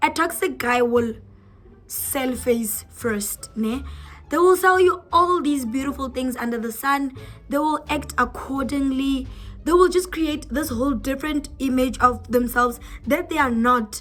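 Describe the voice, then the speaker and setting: Music plays in the background as a woman speaks in a high pitch at a fairly slow pace. Her tone is animated, with ordinary pitch variation. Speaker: YouTuber. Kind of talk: casual vlog talk to camera.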